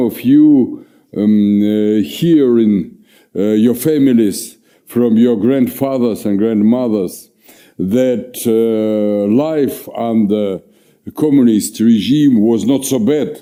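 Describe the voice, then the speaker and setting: Speaking at a very slow pace with a Russian accent, a man uses a medium pitch, ordinary pitch variation and a dark, mellow tone at very even loudness. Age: old. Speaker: historian, professor. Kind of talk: lecture. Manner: halting, many fillers.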